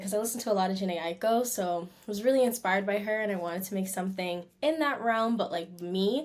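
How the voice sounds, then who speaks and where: At a fairly quick pace, a woman talks in an ordinary speaking voice. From Canada. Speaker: R&B singer. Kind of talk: interview. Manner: casual, relaxed.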